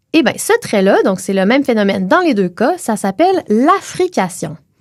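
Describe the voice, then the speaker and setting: With lively intonation, a woman speaks in a Quebec accent. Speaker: linguist and podcast co-host. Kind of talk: educational chat.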